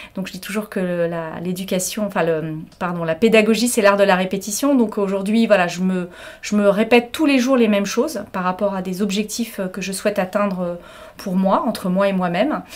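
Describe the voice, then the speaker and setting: At a fairly quick pace, a woman speaks at a medium pitch with ordinary pitch variation over noticeable background noise. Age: 50s. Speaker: hotel director. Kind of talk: interview testimony. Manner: energetic.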